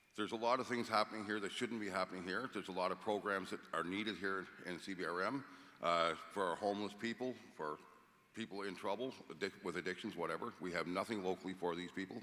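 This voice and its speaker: A man with a Cape Breton accent talks at a very fast clip, his pitch fairly low. The tone is bright and sharp, and the intonation stays fairly even. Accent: Cape Breton Canadian English. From Cape Breton, Nova Scotia. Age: 60s. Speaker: mayoral candidate, tow truck driver. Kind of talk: candidate debate statement. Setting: stage with audience.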